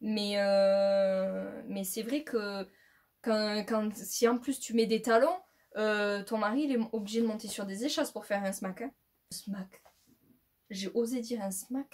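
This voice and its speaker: A woman with a fairly high, somewhat breathy voice speaks at a very slow pace with ordinary pitch variation. Her speech has long, frequent pauses. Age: 20s. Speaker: YouTuber. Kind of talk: casual vlog talk to camera. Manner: halting, many fillers.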